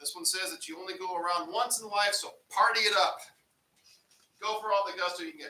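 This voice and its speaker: In a raised, projected voice with a bright, sharp tone, a man speaks at a very fast pace. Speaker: apologetics teacher. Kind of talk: lecture.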